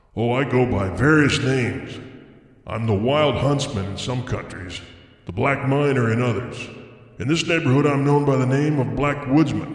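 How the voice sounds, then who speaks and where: A man's put-on character voice, growling, gruff and hoarse, medium in pitch at a moderate pace, with clear echo. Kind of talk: classic story reading. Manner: menacing, gloating, sardonic.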